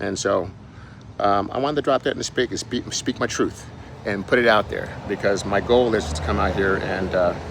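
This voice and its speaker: Noticeable background noise behind a man with a fairly low pitch, a moderate pace and ordinary pitch variation. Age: 60s. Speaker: fitness and weight loss coach, author. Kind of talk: casual vlog monologue. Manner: halting, with fillers and restarts.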